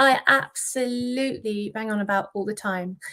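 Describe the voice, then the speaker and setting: A very clean recording with a silent background and ordinary pitch variation. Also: woman. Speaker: wellbeing coach for businesses. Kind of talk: interview conversation.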